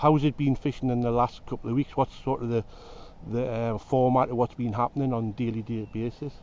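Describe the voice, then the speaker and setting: Fairly quick and monotone, a man with a Geordie accent speaks at medium pitch in a dark, mellow tone with flat intonation. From northern England, Newcastle area (Geordie). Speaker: fishing video host. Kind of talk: casual interview.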